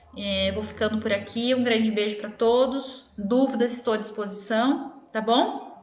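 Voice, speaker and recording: A woman at a fairly high pitch, fairly slow and with hardly any pauses, fairly even in intonation, amid noticeable background noise and audible room echo. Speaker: dentist. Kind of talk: live stream Q&A talk. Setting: live video stream.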